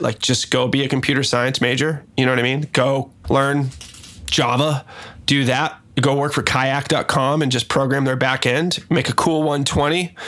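A man with an American accent has an unremarkable speaking voice at medium pitch, keeping a moderate pace and very even loudness. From US Northwest, Seattle. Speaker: music producer. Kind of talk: casual chat.

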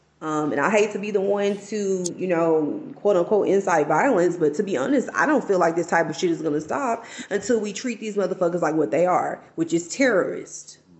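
A woman talks at medium pitch with lively intonation and hardly any pauses. She has a plain, everyday voice. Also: fairly quick pace. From Texas. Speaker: guest or frequent chat participant. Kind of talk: casual banter.

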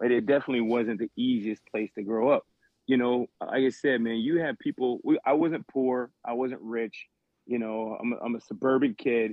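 With an American accent, a man speaks at a medium pitch with fairly even intonation. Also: moderate pace. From South Carolina. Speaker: podcast co-host. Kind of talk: casual chat. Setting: group call.

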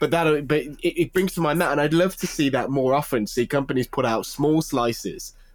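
A man talks at a fairly quick pace with hardly any pauses. His is a plain, everyday voice, fairly high for a man, with ordinary pitch variation. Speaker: games journalist. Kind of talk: casual chat.

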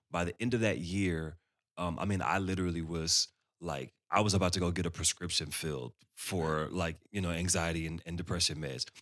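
A man's very deep, low voice with vocal fry, at a fairly quick pace, in a dry, close sound with no echo. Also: fairly even intonation. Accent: American. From Texas, Dallas. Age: 30s. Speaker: musician and church ministry worker. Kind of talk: casual interview chat.

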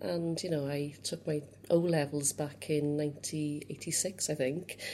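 A woman with a Cardiff accent speaks at a very deep, low pitch in a very clean recording with a silent background. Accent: Welsh (Cardiff). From Wales, Cardiff. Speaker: youth organisation chief executive. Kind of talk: interview.

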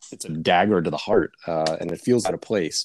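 The sound is dry and close, without any echo. A man talks at a moderate pace. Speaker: guest co-host. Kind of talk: casual chat.

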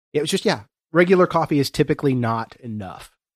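Recorded with a dry, close sound and no echo, a man with an American accent has an unremarkable speaking voice, a fairly high pitch and lively intonation. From southern Ohio, Appalachian foothills. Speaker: podcast host. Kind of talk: casual chat. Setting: studio.

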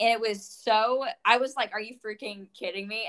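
With an American accent, a woman has an unremarkable speaking voice, medium pitch, ordinary pitch variation and a moderate pace. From Florida. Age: 20s. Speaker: podcast host. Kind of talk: casual chat.

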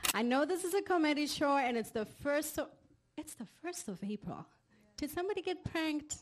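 With lively intonation, a woman talks at a fairly quick pace in a high pitch. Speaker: comedy show host. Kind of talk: live emcee banter and introduction. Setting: stage with audience.

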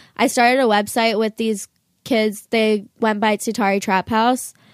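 A woman speaks at a fairly slow pace and fairly high pitch in a plain, everyday voice. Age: 20s. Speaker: musician and internet influencer. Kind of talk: casual interview chat. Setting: studio.

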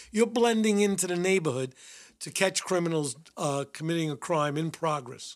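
On a very clean recording with a silent background, a man with a New York accent speaks in a high pitch with lively intonation. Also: moderate pace. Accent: New York (Bronx). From New York City, the Bronx. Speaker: retired police detective. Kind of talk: interview, storytelling.

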